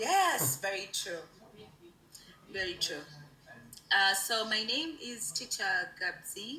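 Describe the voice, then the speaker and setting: With a Ugandan accent, a woman speaks at a very slow pace with long, frequent pauses amid noticeable background noise. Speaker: online English teacher. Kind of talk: casual chat.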